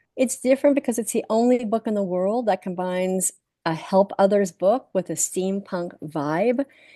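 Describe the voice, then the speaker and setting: A woman speaks at a medium pitch and moderate pace, with a dark, mellow tone and ordinary pitch variation. The sound is dry and close, with no echo, over a quiet background. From Canada. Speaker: author and speaker. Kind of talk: interview.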